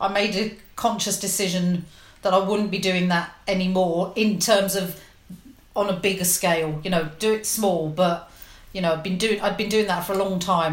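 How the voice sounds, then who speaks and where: A woman with a London accent speaks at a medium pitch and a moderate pace, her intonation fairly even, with audible room echo. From West London. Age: 50s. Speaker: legal professional. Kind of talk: casual chat.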